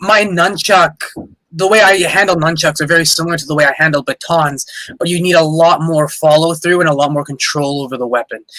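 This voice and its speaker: A man with a Canadian accent, high in pitch, at a fairly quick pace with ordinary pitch variation. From Canada. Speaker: boxer and boxing coach. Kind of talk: casual chat.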